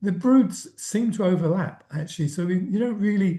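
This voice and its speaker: A man at a high pitch, talking at a fairly slow pace. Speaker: entomologist presenter. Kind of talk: lecture. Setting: video call. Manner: halting.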